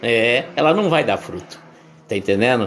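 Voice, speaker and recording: A man's pitch rises and falls dramatically as audible echo fills the room around him. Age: 60s. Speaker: bishop/pastor. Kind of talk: sermon. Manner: conversational, repetitive.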